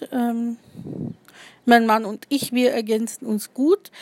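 At a moderate pace, a woman speaks in a high pitch, the sound dry and close with no echo. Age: 30s. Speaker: podcaster and poet. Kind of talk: casual personal introduction monologue.

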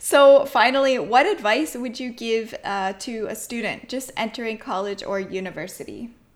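A woman talks at a moderate pace in a normal speaking voice with hardly any pauses. Her fairly high pitch carries lively intonation and big swings in loudness. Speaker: podcast host. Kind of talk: interview.

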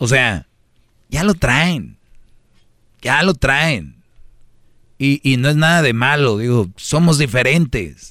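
A man's fairly high, bright, sharp voice, very slow with long, frequent pauses, lively intonation and very even loudness. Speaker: radio co-host. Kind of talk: casual chat.

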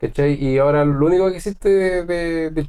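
Speaking in a plain, everyday voice, a man uses ordinary pitch variation at a fairly high pitch. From northern Chile, Calama. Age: 30s. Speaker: musician. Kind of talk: casual chat.

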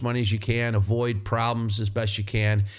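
A man with an American accent at a moderate pace. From northern US. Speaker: podcast host, auto mechanic. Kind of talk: casual monologue. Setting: studio, alone at a microphone. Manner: animated, laughing often.

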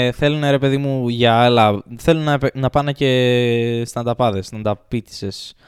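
Using fairly even intonation, a man with a medium pitch speaks at a fairly slow pace. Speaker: house owner and friend of the hosts. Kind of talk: casual chat.

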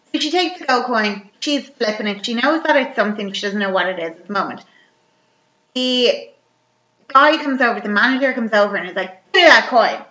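The voice moves at a fairly quick pace with lively intonation. Its loudness swings widely. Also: woman, high pitch for a woman. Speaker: podcast host. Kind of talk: casual chat.

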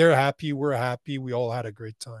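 Against a quiet background, with a dry, close sound and no echo, a man in an ordinary speaking voice talks at a moderate pace, his pitch fairly high and his intonation fairly even. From Canada. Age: 40s. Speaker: men's coach and entrepreneur. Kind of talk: casual interview.

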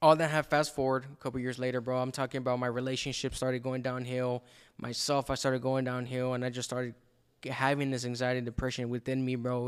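Speaking at a fairly quick pace, a man with a medium pitch talks with an American accent. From El Paso, Texas. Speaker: podcaster. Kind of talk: interview with personal testimony. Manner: casual, slangy.

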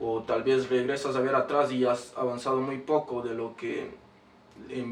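Over noticeable background noise, a man speaks fairly slowly at a medium pitch. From Ecuador, Quito. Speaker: rapper. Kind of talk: interview.

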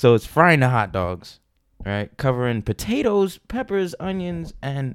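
A man with an American accent swings his pitch very widely. The recording is very clean, with a silent background. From New York. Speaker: podcast co-host, restaurant worker. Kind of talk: casual chat.

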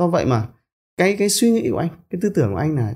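A man's very fast voice, high-pitched, with a dark, mellow tone and very wide pitch swings. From northern Vietnam, Bac Giang province. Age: 40s. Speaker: entrepreneur and company chairman. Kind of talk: interview storytelling. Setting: studio office.

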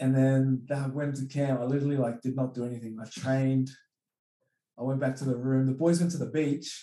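A man's fairly quick, monotone delivery in a Sydney accent, flat in intonation and dark, mellow in tone. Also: medium pitch for a man. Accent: Australian, western Sydney. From Australia (Penrith, western Sydney). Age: 20s. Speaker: professional rugby league player. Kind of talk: casual interview chat. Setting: podcast recording.

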